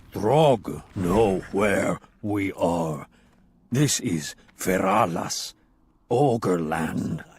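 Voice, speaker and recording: A man's put-on character voice, fairly low in pitch, very slow, with long, frequent pauses. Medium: read story. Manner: broken speech, third person.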